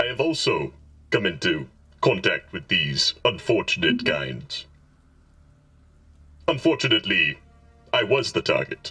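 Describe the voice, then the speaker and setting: A man does a put-on character voice at a moderate pace, with long, frequent pauses. Faint music plays in the background. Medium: actual play. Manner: formal, measured, diplomatic.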